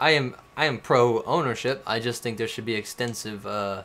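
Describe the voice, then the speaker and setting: A man's bright, sharp voice at medium pitch and a moderate pace. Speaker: streamer. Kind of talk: casual chat. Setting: live stream. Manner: animated.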